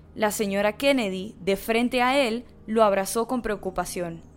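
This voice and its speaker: A woman with a normal speaking voice, fairly high in pitch with ordinary pitch variation, speaks at a fairly slow pace on a very clean recording with a silent background. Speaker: podcast narrator. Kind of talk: dramatic narration of a true-crime story, read in a serious, storytelling tone. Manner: solemn, measured, suspenseful pacing; steady, formal, even delivery.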